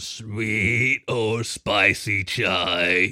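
A man puts on a character voice. It comes out raspy and fairly low in pitch. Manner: polite, service tone.

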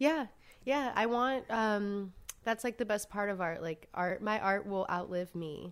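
A woman with an American accent speaks in a normal speaking voice at a fairly slow pace, her pitch medium and its variation ordinary. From US South, Savannah, Georgia. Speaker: street artist. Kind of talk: casual interview chat. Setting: around a dining room table.

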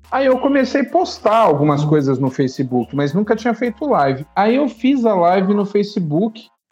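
With music in the background, a man speaks at a moderate pace in a high pitch with very wide pitch swings. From São Paulo city, Brazil. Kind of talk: casual chat.

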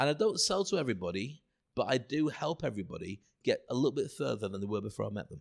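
Vocal fry marks a man's medium-pitched voice, which makes very wide pitch swings at a very fast pace. The recording is very clean, with a silent background. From northeast England (Stockton/Redcar), partly Scotland. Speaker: public speaking coach. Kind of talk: casual chat.

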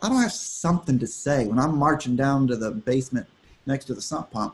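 A man with an American accent talks at a fairly quick pace. His pitch is fairly high. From Texas, Austin. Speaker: country music artist. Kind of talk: casual interview. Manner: halting.

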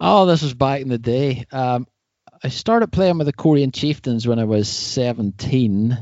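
In a Northern Irish accent, a man of medium pitch speaks at a fairly slow pace with ordinary pitch variation. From Northern Ireland, North Coast. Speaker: mountain bike podcast host, surfer. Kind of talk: casual interview chat.

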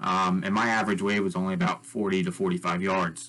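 A man with an American accent and a bright, sharp tone, fairly low pitch, ordinary pitch variation, and a fairly slow pace. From US Northeast, Long Island, New York. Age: 20s. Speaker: wave pool developer. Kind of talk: interview.

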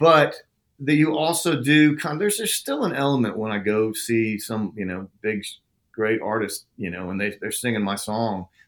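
Using a plain, everyday voice, a man with an American accent speaks at a moderate pace with lively intonation. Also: medium pitch for a man. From Oklahoma. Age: 50s. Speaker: songwriter. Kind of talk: interview.

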